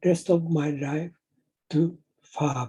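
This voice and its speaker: The speaker has a Japanese accent and a dark, mellow tone. The pace is very slow. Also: man. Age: 70s. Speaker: inventor presenting his project. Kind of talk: prepared presentation. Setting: online meetup.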